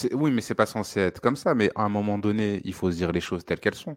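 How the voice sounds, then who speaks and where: A man with a fairly low voice talks at a very fast pace. His intonation is lively, and the sound is dry and close with no echo. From Paris suburbs (Seine-Saint-Denis). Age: 30s. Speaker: football podcast co-host. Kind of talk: casual football debate.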